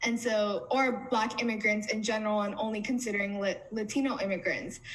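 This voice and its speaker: Over noticeable background noise and audible room echo, a woman speaks fairly quickly at a fairly high pitch, with fairly even intonation and very even loudness. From US, Somali immigrant family. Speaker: community organizer. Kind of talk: panel interview.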